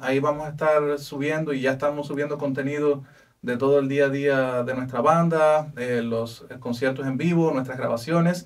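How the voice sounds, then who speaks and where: The pace stays moderate. It's a man talking. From Cuba. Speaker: band musician; guest. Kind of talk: casual interview. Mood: friendly, promotional. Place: studio.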